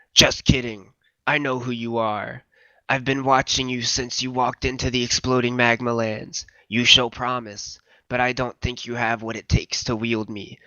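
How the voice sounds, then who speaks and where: A man's put-on, robotic character voice, booming and medium-pitched with monotone, flat intonation at a moderate pace. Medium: read story. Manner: condescending, menacing.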